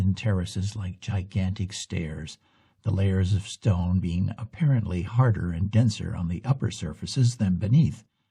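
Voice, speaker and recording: Against a quiet background, a man speaks at a moderate pace in a dark, mellow tone that is somewhat breathy. His pitch is fairly low, with ordinary variation. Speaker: storyteller. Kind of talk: narration of folk tale.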